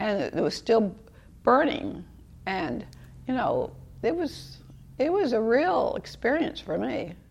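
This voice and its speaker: A woman's high voice at a very slow pace, with very wide pitch swings and long, frequent pauses. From US, military family, moved often. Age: 80s+. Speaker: storyteller recalling life history. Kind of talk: interview testimony.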